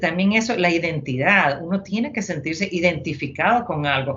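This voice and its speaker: This woman talks with a Honduran accent at a fairly low pitch. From Honduras. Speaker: retired army officer. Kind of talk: interview. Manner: halting.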